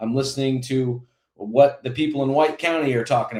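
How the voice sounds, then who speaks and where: In an ordinary speaking voice, a man at medium pitch speaks with fairly even intonation. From Indiana. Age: 40s. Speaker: congressional candidate. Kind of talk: interview. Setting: live broadcast.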